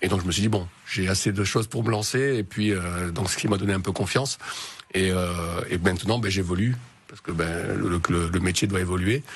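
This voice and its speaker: Pitched very deep and low, a man talks at a fairly quick pace. His pitch varies in an ordinary way. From southern France (Marseille, Hautes-Alpes). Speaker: entrepreneur, consultant. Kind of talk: radio interview. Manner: hesitant, many fillers.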